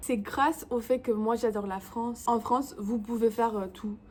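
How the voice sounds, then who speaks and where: With a non-native accent, a woman speaks at a fairly high pitch with fairly even intonation. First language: English (speaking French). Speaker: YouTuber. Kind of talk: vlog tutorial. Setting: home, in front of camera. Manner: halting.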